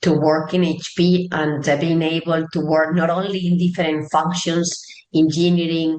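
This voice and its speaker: Her voice sits fairly low for a woman. She talks at an unhurried, moderate speed. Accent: Spanish. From Spain, Barcelona. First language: Spanish. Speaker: tech executive. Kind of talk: interview.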